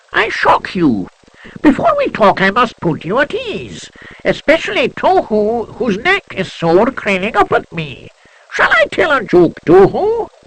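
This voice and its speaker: A squeaky, put-on character voice moves at a fairly slow pace. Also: man, high pitch for a man. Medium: read story. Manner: sprightly.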